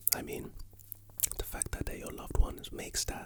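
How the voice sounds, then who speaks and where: Whispering from a man over noticeable background noise. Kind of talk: whispered ASMR ramble about life and motivation. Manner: whispered, soft-spoken, sleepy.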